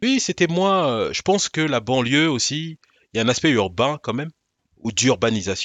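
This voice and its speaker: Moving at a moderate pace, a man with a fairly high pitch makes very wide pitch swings. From Paris suburbs, Val-de-Marne. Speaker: rapper and podcast host. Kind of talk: casual studio conversation.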